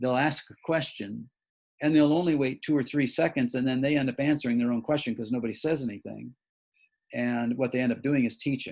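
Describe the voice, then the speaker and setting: A man speaks at a fairly quick pace in a medium pitch. His intonation is fairly even. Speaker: church leadership trainer. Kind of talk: training session. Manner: fast.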